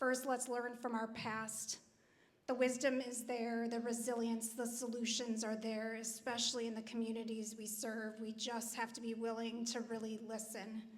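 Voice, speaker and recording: A woman at a moderate pace, flat and monotone in intonation, with audible room echo. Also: fairly high pitch for a woman. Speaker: nonprofit leader on a panel. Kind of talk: panel discussion remarks. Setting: church hall event with audience.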